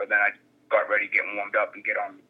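The speaker, a man, has an American accent. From Gloucester, Massachusetts. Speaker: MMA fighter. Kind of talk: interview.

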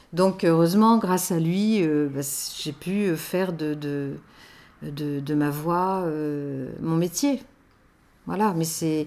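Speaking at a very slow pace with long, frequent pauses, a woman uses a dark, mellow tone at a fairly low pitch with ordinary pitch variation. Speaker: voice-over artist for station announcements. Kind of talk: interview testimony. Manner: hesitant, many repeated words and fillers.

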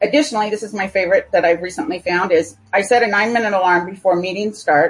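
A woman speaks with an American accent at a medium pitch. Her voice is somewhat breathy. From California. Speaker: software developer. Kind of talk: interview.

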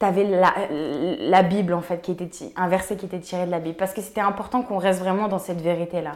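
At a fairly quick pace, a woman at medium pitch speaks in an animated, energetic tone. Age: 20s. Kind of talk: casual interview conversation. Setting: co-working space.

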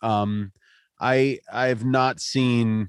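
A man with an American accent speaks in a monotone, flat way on a very clean recording with a silent background. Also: dry, close sound with no echo. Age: 30s. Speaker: podcast host. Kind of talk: casual interview.

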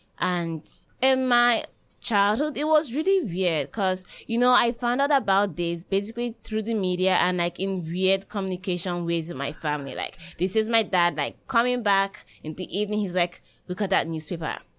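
A woman in a plain, everyday voice talks at a medium pitch and moderate pace, her intonation lively. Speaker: university student. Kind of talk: panel discussion.

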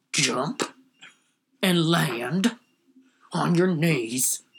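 This is a put-on character voice pitched in the middle range. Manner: gruff, commanding, threatening.

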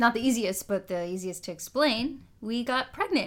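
An unremarkable speaking voice with an American accent, at a moderate pace with ordinary pitch variation. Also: woman. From Minnesota, near Fargo. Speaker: occupational therapist. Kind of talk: casual chat.

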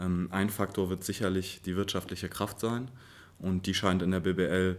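Very deep and low, this man's voice comes through. He speaks at a fairly slow pace. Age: 20s. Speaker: basketball coach. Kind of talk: interview.

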